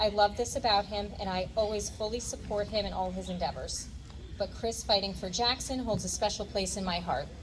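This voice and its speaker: Amid noticeable background noise, a woman with an American accent speaks at a fairly quick pace. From New Jersey (Ocean County). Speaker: candidate's wife. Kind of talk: prepared speech at rally.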